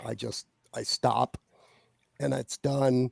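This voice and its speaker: A man with an American accent, dry and close with no echo. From US Midwest, Ohio. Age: 60s. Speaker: fantasy author. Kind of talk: interview. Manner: halting, many fillers and repetitions.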